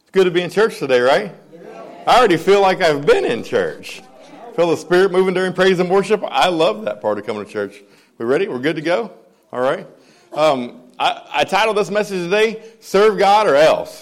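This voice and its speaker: A high-pitched man talks fairly quickly, with lively intonation and big swings in loudness. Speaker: preacher. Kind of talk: sermon. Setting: church.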